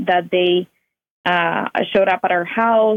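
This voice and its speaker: The speaker uses a Spanish accent, a fairly slow pace and a monotone, flat intonation. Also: woman. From Cuba. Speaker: Cuban emigrant and author. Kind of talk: interview testimony.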